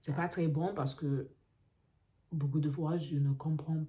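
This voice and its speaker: A woman speaks in a very deep, low voice with a dark, mellow tone. Her delivery is somewhat breathy, with fairly even intonation. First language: English (speaking French). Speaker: vlogger, French learner. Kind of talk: casual vlog monologue. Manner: halting, with fillers and self-corrections.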